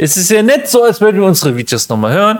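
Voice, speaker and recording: Swinging very widely in pitch, the man talks at a fairly quick pace while noticeable background noise plays behind him. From Germany. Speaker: podcast host. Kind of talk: casual chat.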